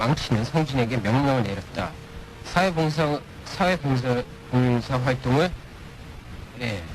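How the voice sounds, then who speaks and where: A man at a medium pitch, with ordinary pitch variation and a fairly slow pace, over noticeable background noise. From partly raised in the US. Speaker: radio guest. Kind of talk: reading aloud a listener story. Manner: halting, repeats words.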